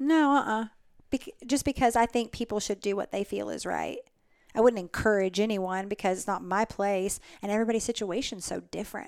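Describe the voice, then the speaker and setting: A fairly quick, medium-pitched woman's voice with an American accent and ordinary pitch variation, on a very clean recording with a silent background. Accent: Southern US, slight to moderate. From Alabama, US South. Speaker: winery general manager. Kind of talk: casual interview chat. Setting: winery tasting room, in person.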